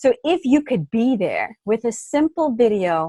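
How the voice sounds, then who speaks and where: With a slight Texas accent, a woman's voice moves through very wide pitch swings. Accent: slight Texas twang. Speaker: smartphone video trainer. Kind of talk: interview.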